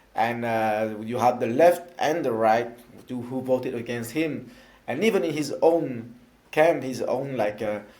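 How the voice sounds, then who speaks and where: With a slight French accent, a man speaks fairly slowly at a medium pitch with ordinary pitch variation, and the room echo is audible. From France. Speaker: elected councillor for citizens abroad. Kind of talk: interview. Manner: halting, many fillers.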